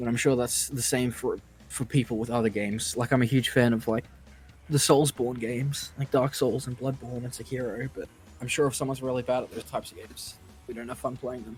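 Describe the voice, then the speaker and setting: A man at medium pitch with an Australian accent, talking fairly quickly with big swings in loudness, music playing in the background. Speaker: gaming streamer. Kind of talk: casual chat. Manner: animated.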